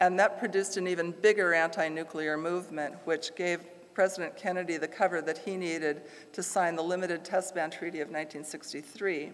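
Using an unremarkable speaking voice, a woman talks at a fairly quick pace with a fairly low pitch and fairly even intonation. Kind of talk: lecture. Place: church.

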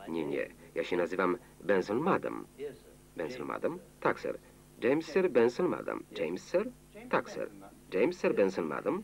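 Over light background noise, a man speaks in a deadpan, calm tone at a moderate pace, with long, frequent pauses. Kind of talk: Polish film voice-over (lektor) reading all characters' lines over the film audio. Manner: flat, even, deadpan monotone narration without acting out the characters; single male reader delivering every role in the same calm, unemotional tone. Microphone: old recording.

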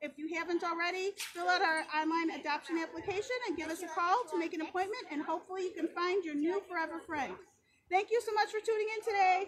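Over noticeable background noise, a woman talks at a very fast pace in an extremely high pitch with ordinary pitch variation. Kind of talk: casual promotional sign-off. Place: open country. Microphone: phone near.

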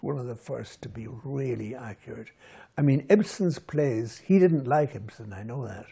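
A man with a dark, mellow, somewhat breathy tone speaks at a fairly slow pace. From Scotland, then Ireland border area; Scotland. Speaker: writer; interviewee. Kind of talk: interview. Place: home room. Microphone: lapel.

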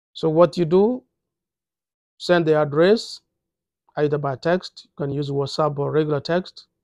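The man talks at a moderate pace with fairly even intonation. The sound is dry with no echo, and the background is quiet. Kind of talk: tutorial. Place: office. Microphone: phone near.

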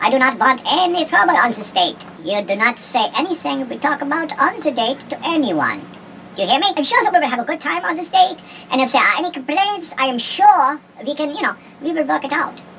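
Over clear background noise, a put-on character voice runs at a high pitch and a fairly quick pace. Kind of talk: comic dating-ad parody. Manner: commanding, barking, menacing.

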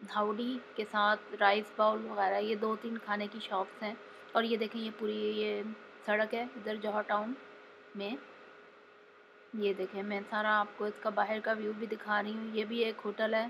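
At a fairly slow pace with long, frequent pauses, a woman speaks in a monotone, flat intonation over light background noise. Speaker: travel vlogger. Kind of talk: casual vlog chat. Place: street. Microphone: phone near.

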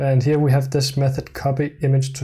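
The speaker is a man. There is some breathiness to his voice. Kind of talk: coding tutorial commentary.

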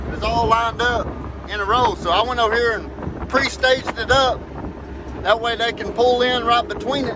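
In a raised, projected voice, a man talks at a moderate pace in a flat monotone, with noticeable background noise and a dry sound with no echo. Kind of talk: casual vlog chat. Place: farm machine. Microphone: phone near.

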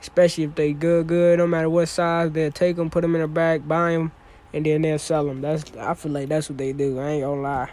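Fairly even intonation carries a fairly quick delivery in a dry sound with no echo. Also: man. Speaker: shopper vlogger. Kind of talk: casual vlog chat. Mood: joking, playful. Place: shop. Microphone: phone near.

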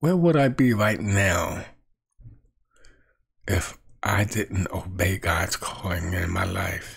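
Using vocal fry and a low pitch, a man speaks at a slow pace with long, frequent pauses. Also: ordinary pitch variation.

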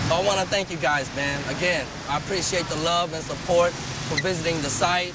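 Someone with an American accent talks at a fairly quick pace. The sound is dry with no echo, but loud background noise is present. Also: man, high pitch for a man. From US West Coast, California. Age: 30s. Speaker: spoken word artist. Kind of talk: personal video message; casual thank-you message to viewers. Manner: earnest. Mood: warm, grateful. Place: street.

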